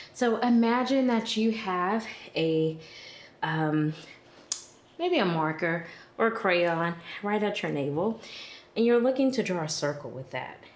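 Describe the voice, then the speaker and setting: Audible room echo surrounds a woman at medium pitch who speaks with lively intonation at a fairly slow pace, leaving long, frequent pauses. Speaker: yoga instructor. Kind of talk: guided yoga class. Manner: calm, gentle instruction.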